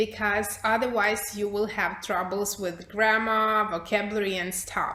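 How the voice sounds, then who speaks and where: A woman's fairly high-pitched voice amid noticeable background noise and audible room echo. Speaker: English teacher trainer. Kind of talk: workshop presentation.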